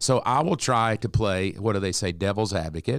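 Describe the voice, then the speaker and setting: A man's animated tone and lively intonation in a very clean recording with a silent background. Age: 60s. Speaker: pastor. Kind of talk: casual chat.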